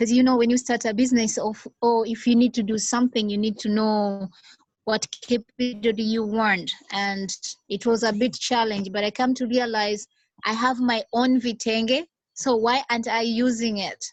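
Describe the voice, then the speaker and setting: A woman speaks at a moderate pace in a fairly high pitch. Her intonation is monotone and flat. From Tanzania. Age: young. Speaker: small business founder. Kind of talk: video call discussion. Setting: video call. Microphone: unstable network connection.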